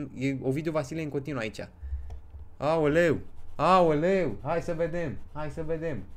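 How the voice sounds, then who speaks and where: Speaking at a fairly slow pace with long, frequent pauses, a man with a fairly high pitch and ordinary pitch variation is heard in audible room echo. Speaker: gaming streamer. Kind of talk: live stream chat. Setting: home. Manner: animated.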